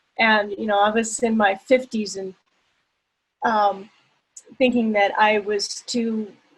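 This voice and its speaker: A woman speaks at a very slow pace with long, frequent pauses. Her fairly high, somewhat breathy voice stays monotone and flat. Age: 60s. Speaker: workshop participant, yoga student. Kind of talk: group sharing on a video call.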